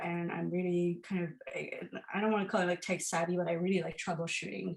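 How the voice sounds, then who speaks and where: This is a woman speaking. Her pitch is fairly low. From Iran. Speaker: artist and teacher. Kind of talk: artist talk. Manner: halting, many fillers.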